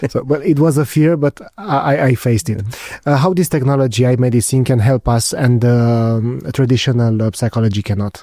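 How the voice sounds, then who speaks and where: In a Romanian accent, a man talks at a fairly quick pace with a dark, mellow tone, medium pitch, ordinary pitch variation and very even loudness. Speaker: podcast host. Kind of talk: interview conversation. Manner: halting, many fillers.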